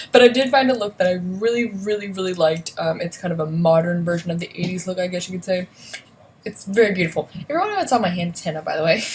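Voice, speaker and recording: Amid noticeable background noise, a woman talks at a very fast pace with a medium pitch, ordinary pitch variation and big swings in loudness. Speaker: beauty vlogger. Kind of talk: casual makeup tutorial livestream. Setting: home at night, son asleep next door. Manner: quiet, hushed; chatty, filler-heavy.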